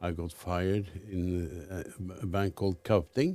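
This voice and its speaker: With a Norwegian accent, a man speaks at a very deep, low pitch. His tone is dark and mellow, and the recording is very clean with a silent background. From Norway. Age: 70s. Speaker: fund manager. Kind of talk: interview.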